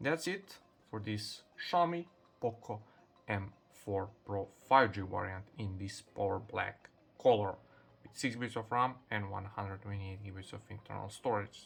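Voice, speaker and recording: Speaking with a non-native accent, a man with a fairly low pitch talks at a moderate pace, somewhat breathy, with ordinary pitch variation and big swings in loudness. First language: Serbian. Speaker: tech youtuber. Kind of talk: unboxing tutorial. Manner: halting, with fillers.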